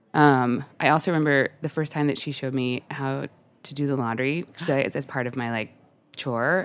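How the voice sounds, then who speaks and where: The intonation is fairly even, and the recording is very clean with a silent background. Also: woman. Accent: American. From Indiana, US Midwest. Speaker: hospitality worker and podcast co-host. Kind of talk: casual interview chat.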